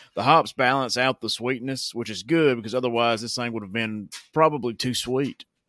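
This man has a Southern US accent, a medium pitch, a bright and sharp tone, fairly even intonation and a fairly quick pace, recorded dry and close with no echo against a silent, very clean background. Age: 30s. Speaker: beer review podcast host. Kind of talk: casual review monologue. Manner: hesitant with fillers.

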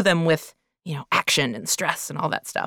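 A woman talks at a moderate pace with vocal fry. The sound is dry and close, with no echo. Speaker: podcast co-host and voice actor. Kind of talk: casual chat.

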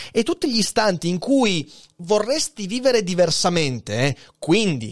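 A man with a high voice sounds animated, his pitch swinging very widely at a fairly slow pace, in a dry, close recording with no echo. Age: 30s. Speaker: philosophy podcaster and streamer. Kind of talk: live-stream philosophy talk. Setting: live stream on Twitch.

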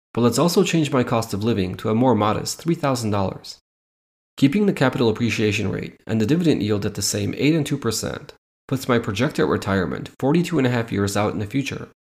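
Speaking very fast, a man at a medium pitch uses lively intonation. The recording is very clean, and the background is silent. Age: 30s. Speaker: dividend investing podcaster. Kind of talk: tutorial.

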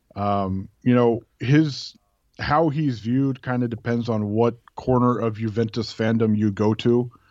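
An American accent comes through at a fairly slow pace with fairly even intonation. The background is quiet. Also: man, medium pitch for a man. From Oakland, California, US. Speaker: football blogger and podcaster. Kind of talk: casual interview chat.

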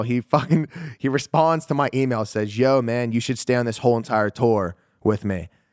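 A normal speaking voice with an American accent moves at a fairly quick pace with ordinary pitch variation. The sound is dry and close, with no echo. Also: man. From Pittsburgh, Pennsylvania. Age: 20s. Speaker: entrepreneur. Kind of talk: casual chat.

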